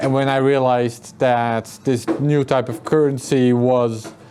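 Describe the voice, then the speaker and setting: A man speaks at a medium pitch with fairly even intonation while music plays in the background. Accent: Dutch. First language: Dutch. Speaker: author and journalist. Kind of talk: interview at a meetup.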